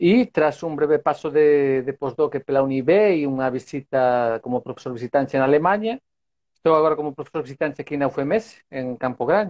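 Speaking with a Spanish accent, a man with a fairly high pitch talks at a moderate pace with ordinary pitch variation. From Spain. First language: Spanish (speaking Portuguese). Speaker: sports science professor. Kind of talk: casual interview. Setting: video call from home balcony.

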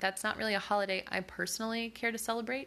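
This is a woman with an American accent. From US South. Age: 20s. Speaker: podcast host. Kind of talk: personal monologue; reading a recipe.

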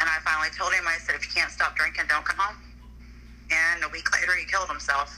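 Over noticeable background noise, a woman talks very fast at a very even loudness. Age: 50s. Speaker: guest discussing dating. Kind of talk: casual chat.

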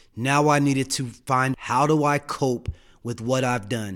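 A man with an American accent speaks at a moderate pace in a medium pitch, using a plain, everyday voice. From Denver, Colorado. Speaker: addiction recovery director. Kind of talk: interview, personal recovery story.

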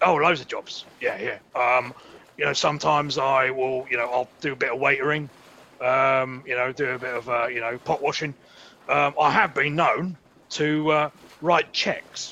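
Doing a put-on character voice, a man sounds raspy at a fairly high pitch, with fairly even intonation, a moderate pace, and long, frequent pauses. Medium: comedy sketch. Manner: brash, touchy, boastful.

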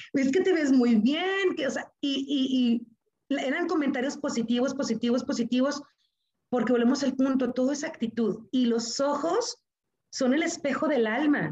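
With a high pitch and ordinary pitch variation, a woman speaks. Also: moderate pace. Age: 40s. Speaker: engineer and teacher. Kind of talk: interview testimony.

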